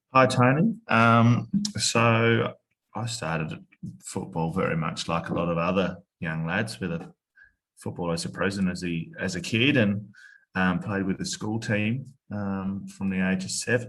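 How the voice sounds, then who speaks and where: A man with an Australian accent speaks at a fairly slow pace in a fairly low voice with lively intonation. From Australia (Tasmania). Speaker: former footballer. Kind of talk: podcast interview.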